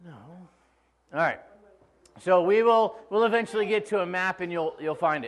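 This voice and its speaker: A man speaks at a moderate pace, his pitch high with ordinary variation. His loudness swings widely, and he leaves long, frequent pauses. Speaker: pastor. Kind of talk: sermon. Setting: church. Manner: casual, joking.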